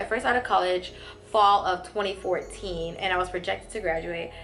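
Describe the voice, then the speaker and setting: Music plays in the background. A woman with an American accent talks at a moderate pace. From Atlanta outskirts, Georgia, USA. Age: 20s. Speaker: ER registered nurse. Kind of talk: casual talk to camera.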